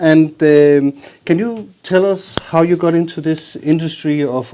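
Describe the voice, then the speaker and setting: A man's dark, mellow tone at a fairly high pitch, with a Danish accent, ordinary pitch variation and a fairly slow pace. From Jutland, Denmark. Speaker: bass channel host, interviewer. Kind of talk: interview.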